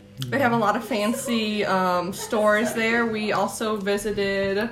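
The delivery is fairly slow with fairly even intonation. Noticeable background noise runs underneath. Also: woman. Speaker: podcast host. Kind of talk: casual chat. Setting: Airbnb in London.

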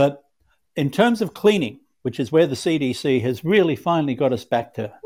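Very clean recording with a silent background, lively intonation, and an Australian accent. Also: man. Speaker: cleaning product manufacturer. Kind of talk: podcast interview.

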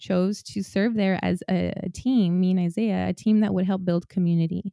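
With an American accent, a woman speaks at medium pitch in a dark, mellow tone, captured with a dry, close sound and no echo. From rural Washington State. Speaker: seminarian and spiritual director. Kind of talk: casual interview.

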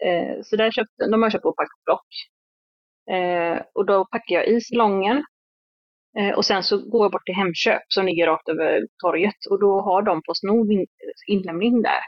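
A woman speaks in an ordinary speaking voice at medium pitch. Her intonation is fairly even and her pace moderate. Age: 30s. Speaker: hairdresser and salon owner. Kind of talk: interview.

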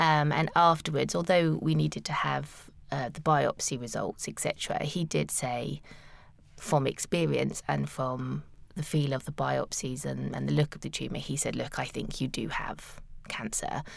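This woman has a British accent. Her pace is moderate. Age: 40s. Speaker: cancer patient guest. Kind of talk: interview. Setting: studio.

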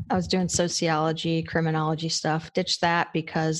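In a very clean recording with a silent background, a woman with a plain, everyday voice speaks at a fairly low pitch and a moderate pace, with an American accent. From Georgia, US. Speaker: paramedic educator and podcaster. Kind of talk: casual interview chat.

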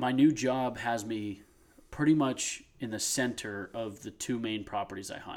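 A man with an American accent and an unremarkable speaking voice talks fairly slowly at a medium pitch with ordinary pitch variation. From US Northeast. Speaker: hunting podcast co-host. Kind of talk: casual chat.

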